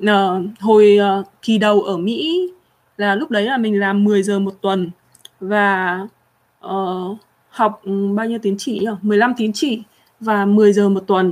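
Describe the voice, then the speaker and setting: The pace is very slow. Pauses are long and frequent. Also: woman, medium pitch for a woman, fairly even intonation. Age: 30s. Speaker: livestream host. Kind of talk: casual livestream chat. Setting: livestream.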